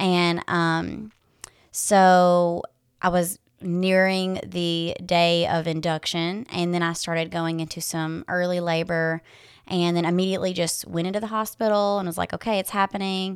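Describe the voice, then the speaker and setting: At a fairly slow pace, a woman with a Tennessee accent speaks in monotone, flat intonation in a very clean recording with a silent background. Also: fairly low pitch for a woman. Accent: Southern US (Tennessee). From West Tennessee. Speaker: doula and energy healer. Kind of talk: casual interview chat.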